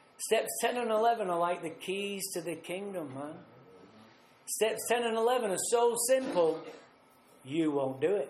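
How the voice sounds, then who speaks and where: With a Mancunian accent and an animated tone, a man speaks in a high voice with long, frequent pauses, audible room echo and noticeable background noise. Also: lively intonation, moderate pace. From northern England, Manchester. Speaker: recovery speaker. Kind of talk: recovery talk at a retreat. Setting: retreat talk with audience.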